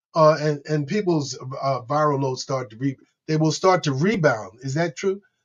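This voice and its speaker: A man talks at a moderate pace with a fairly high pitch. His voice is somewhat breathy, with ordinary pitch variation. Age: 60s. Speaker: podcast host living with HIV. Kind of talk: interview. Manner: halting.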